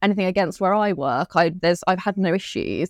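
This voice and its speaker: A woman with a British accent speaks at a moderate pace, medium pitch and ordinary pitch variation, on a very clean, silent recording that sounds dry and close with no echo. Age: 30s. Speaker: podcast host, breast cancer survivor. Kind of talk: casual chat.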